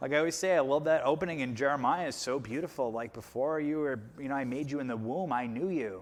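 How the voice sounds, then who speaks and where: Speaking at a very fast pace with hardly any pauses, someone with an American accent shows ordinary pitch variation amid audible room echo. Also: man, fairly high pitch for a man. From US Northeast, Long Island. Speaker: podcast co-host. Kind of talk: casual chat.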